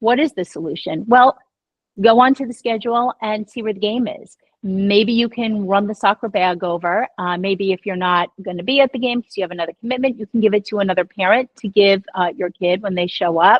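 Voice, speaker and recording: Here a woman speaks at medium pitch with ordinary pitch variation. Her pace is fairly quick. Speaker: radio and podcast host, divorce expert. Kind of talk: interview. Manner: calm.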